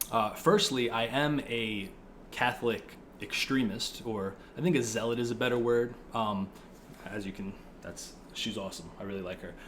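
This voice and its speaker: A man with an American accent talks in a normal speaking voice at medium pitch and a moderate pace. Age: 20s. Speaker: political video creator. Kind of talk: casual monologue. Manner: casual, filler-heavy.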